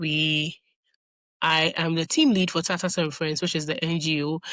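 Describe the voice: A woman speaks low in her range with little pitch movement and a fairly bright tone. The sound is dry and close, with no echo. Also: moderate pace.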